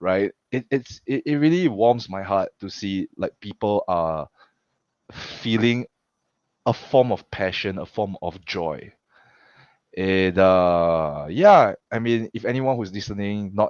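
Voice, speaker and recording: This man has a Singaporean accent and a fairly low pitch. His pace is very slow. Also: ordinary pitch variation. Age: 30s. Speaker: pro wrestler and coach. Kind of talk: casual interview chat. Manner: halting, frequent repetitions.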